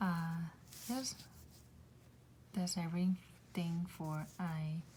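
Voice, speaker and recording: Over noticeable background noise, a woman speaks very slowly at a fairly low pitch with fairly even intonation. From South Korea, Gangwon-do. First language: Korean. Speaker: Korean language teacher. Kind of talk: tutorial. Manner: slow, repetitive pronunciation drills.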